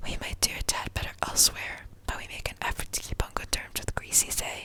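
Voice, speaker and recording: Over noticeable background noise, a whispered voice moves at a fairly quick pace. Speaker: ASMR creator. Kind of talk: sleep story reading.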